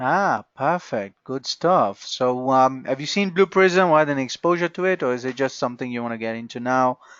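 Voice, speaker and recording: A man with a non-native accent talks at a moderate pace in a medium pitch, his intonation lively and his speech running on with hardly any pauses. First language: not English. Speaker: software trainer. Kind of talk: online training session. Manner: halting.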